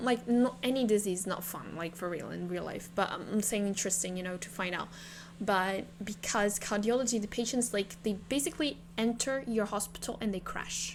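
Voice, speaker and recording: Speaking in a medium pitch, a woman has a non-native accent. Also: ordinary pitch variation, moderate pace. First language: not English. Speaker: game streamer. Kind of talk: gameplay live stream commentary. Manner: halting, many fillers and repeats.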